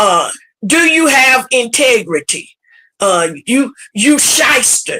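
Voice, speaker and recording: At a very slow pace, the voice is raised and projected, with a bright, sharp tone and very wide pitch swings. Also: woman, high pitch for a woman. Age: 60s. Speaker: podcast host and pastor. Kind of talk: casual panel discussion.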